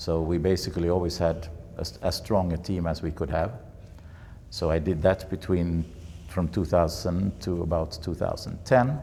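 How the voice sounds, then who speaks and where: A man speaks with a Swedish accent at a very deep, low pitch and a moderate pace. His tone is dark, mellow and somewhat breathy, with ordinary pitch variation. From Sweden. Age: 70s. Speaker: bridge federation president. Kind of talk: interview. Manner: halting.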